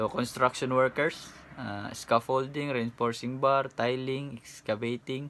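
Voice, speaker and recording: This man's delivery is fairly slow, and his intonation stays monotone and flat. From Philippines. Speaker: YouTuber and overseas worker; YouTuber. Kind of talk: vlog tutorial. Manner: casual with frequent hesitations. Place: home room. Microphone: phone near.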